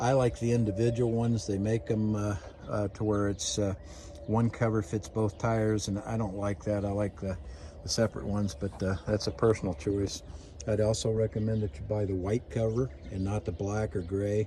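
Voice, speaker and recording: Speaking at a moderate pace, a man uses a fairly low pitch and ordinary pitch variation, his tone dark and mellow and somewhat breathy. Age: 60s. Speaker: RV owner giving maintenance tips. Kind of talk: casual tutorial video. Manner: halting, many fillers.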